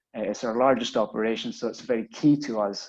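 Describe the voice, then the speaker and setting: Speaking with a Scottish accent, a man uses a medium pitch and ordinary pitch variation. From Scotland. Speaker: business executive. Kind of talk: webinar presentation. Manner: hesitant, many fillers and repetitions.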